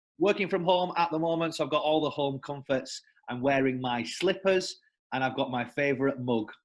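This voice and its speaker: Speaking in a northern English accent, a man talks at a fairly quick pace and a fairly high pitch with ordinary pitch variation. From northern England. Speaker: sales development representative. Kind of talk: casual interview. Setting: working from home.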